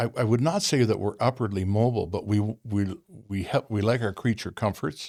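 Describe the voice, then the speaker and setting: A man speaks fairly quickly at a fairly low pitch with an Ontario accent. The recording is very clean, with a silent background. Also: ordinary pitch variation. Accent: Canadian (Ontario). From Ontario, Canada. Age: 70s. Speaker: retired truck driver. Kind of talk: casual interview chat. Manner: halting, repeats words.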